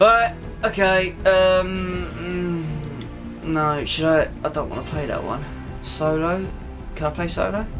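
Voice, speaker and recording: Clear music plays in the background as a man speaks at a very slow pace. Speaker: gamer. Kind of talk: gameplay commentary. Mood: self-deprecating, casual, amused. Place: home room.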